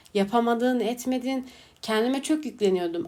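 The woman's pitch sits high. Her pace is moderate. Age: 20s. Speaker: podcast host. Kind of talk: casual monologue.

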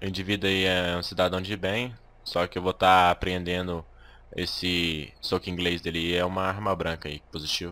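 On a very clean recording with a silent background, a man speaks at a moderate pace in a very deep, low voice. His tone is bright and sharp, his intonation monotone and flat. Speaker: gaming YouTuber. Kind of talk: gameplay commentary with roleplay.

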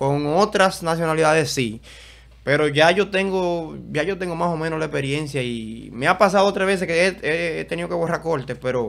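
This man talks at a moderate pace, his fairly high pitch showing ordinary variation. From Dominican Republic, Santo Domingo; Dominican Republic. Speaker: event videographer and content creator; content creator. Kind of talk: casual interview chat. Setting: studio. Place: studio. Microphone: studio mic.

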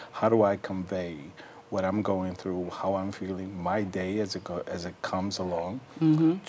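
At a moderate pace, a man speaks in a fairly low pitch over light background noise. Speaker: guest. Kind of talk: interview answer. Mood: earnest, reflective. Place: studio. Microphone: lapel.

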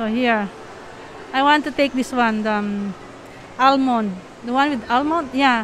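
A woman with a Filipino accent talks at a fairly slow pace and a high pitch, with ordinary pitch variation and long, frequent pauses, over a dry sound with no echo and light background noise. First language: Tagalog. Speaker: travel and food vlogger. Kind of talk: casual vlog narration. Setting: shopping mall. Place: shop. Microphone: phone near.

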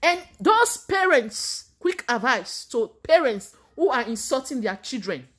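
A woman's high voice, very slow and full of very wide pitch swings, over a quiet background. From Nigeria. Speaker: vlogger giving faith advice. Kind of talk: motivational sermon-like talk to camera. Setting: Canada. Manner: warm, preacherly. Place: home room. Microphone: phone near.

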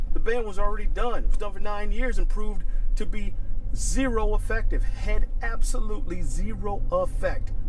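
An angry man at an extremely high pitch with very wide pitch swings, moderate pace, faint music in the background and a dry, echo-free sound. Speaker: firearms instructor and YouTuber; firearms instructor, YouTuber. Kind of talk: angry rant to camera. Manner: angry, heated, emphatic; repetitive, stumbling, punchy. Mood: angry, indignant. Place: car.

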